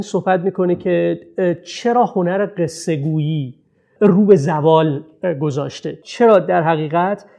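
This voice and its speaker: A man with a high pitch speaks at a fairly slow pace, with ordinary pitch variation. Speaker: researcher and speaker on cinema, city and narrative. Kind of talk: talk.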